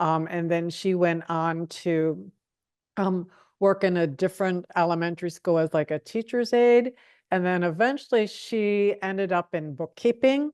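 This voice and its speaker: A woman with an American accent and a fairly low pitch talks at a moderate pace with ordinary pitch variation, in a quiet background with a dry, close sound and no echo. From Pittsburgh, Pennsylvania, US. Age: 60s. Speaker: retired librarian, oral history interviewee. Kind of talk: oral history interview. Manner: hesitant, many fillers.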